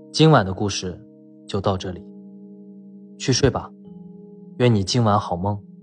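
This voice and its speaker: A gentle tone with ordinary pitch variation, long, frequent pauses and music in the background. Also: man, fairly low pitch for a man. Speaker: bedtime story narrator. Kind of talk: bedtime story, sweet talk. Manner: soft, gentle, slow.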